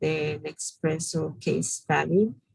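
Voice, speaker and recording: A woman with a strong non-native accent. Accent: strong foreign. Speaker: business bootcamp instructor. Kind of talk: online class lecture.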